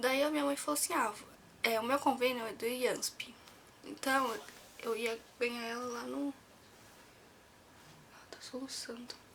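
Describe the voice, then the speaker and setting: Soft-spoken and high-pitched, a woman talks at a fairly slow pace with fairly even intonation and long, frequent pauses. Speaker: vlogger. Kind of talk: personal story vlog. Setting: at home, near sleeping baby. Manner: soft-spoken, talking quietly; casual, with fillers.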